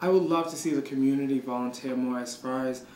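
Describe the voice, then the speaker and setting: There is noticeable noise in the background. A man talks in a flat, monotone way. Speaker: shelter worker. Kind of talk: interview.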